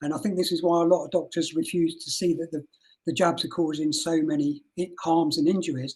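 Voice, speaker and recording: A man speaks with a Birmingham accent at a high pitch. His pace is fairly quick and his intonation fairly even. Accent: Birmingham twang. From English Midlands (Rugby). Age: 60s. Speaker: mental health nurse. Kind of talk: interview.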